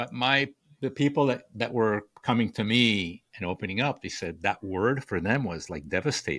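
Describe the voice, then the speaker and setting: Recorded very cleanly against a silent background, a man with a Spanish accent talks at a moderate pace and medium pitch with lively intonation. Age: 60s. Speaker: author and communication coach. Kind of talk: podcast interview. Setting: podcast. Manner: halting, many repeated words.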